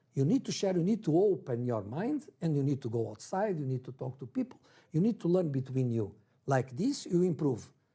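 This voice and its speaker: This man's voice is fairly high-pitched, dark and mellow in tone, and somewhat breathy. His pitch swings very widely. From Brazil, then Portugal from age 11. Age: 60s. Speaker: football coach. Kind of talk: interview. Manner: halting non-native English.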